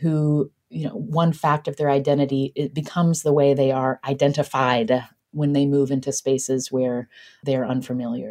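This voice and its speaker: The tone is dark and mellow, in an American accent. Delivery comes at a moderate pace. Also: woman. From West Virginia. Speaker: podcaster and author. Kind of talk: interview.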